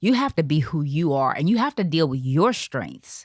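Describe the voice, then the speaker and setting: With an American accent, a woman uses a very deep, low pitch and very wide pitch swings, recorded dry and close with no echo in a very clean recording with a silent background. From US South. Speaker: TV producer and on-air personality. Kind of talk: interview conversation. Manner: conversational.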